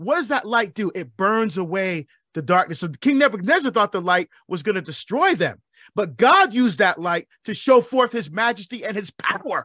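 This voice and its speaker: A man with a high pitch speaks at a moderate pace in a raised, projected voice, his bright, sharp tone animated and energetic and his intonation lively, captured dry and close with no echo on a very clean recording over a silent background. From Barbados. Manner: animated, rising call-and-response rhythm with hammering repeated questions.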